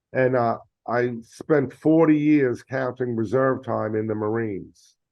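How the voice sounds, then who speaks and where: A man in a New York accent, at a fairly slow pace, with ordinary pitch variation. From New York, the Bronx. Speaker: retired Marine officer, board director. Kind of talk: podcast interview.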